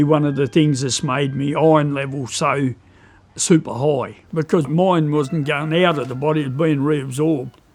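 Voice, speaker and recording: A man with a strong Australian accent talks in a fairly high voice at a moderate pace with fairly even intonation, in a very clean recording with a silent background. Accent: broad Australian. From Tasmania, Australia. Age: 60s. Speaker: pig and chicken breeder. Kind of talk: documentary interview. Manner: casual, hesitant with fillers.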